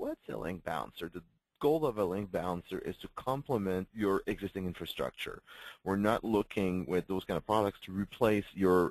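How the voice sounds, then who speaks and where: A man's fairly low voice with ordinary pitch variation, in a dry, close sound with no echo and a quiet background. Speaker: webinar presenter. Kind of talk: product webinar presentation. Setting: live webinar. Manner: fast; halting, many fillers.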